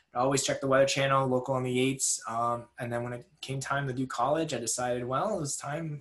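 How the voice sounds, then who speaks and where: Noticeable background noise runs behind a man speaking. He goes at a very fast pace with fairly even intonation. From New England, near Boston. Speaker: research meteorologist. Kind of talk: webinar presentation. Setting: recorded at home over video call. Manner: frequent filler words, casual.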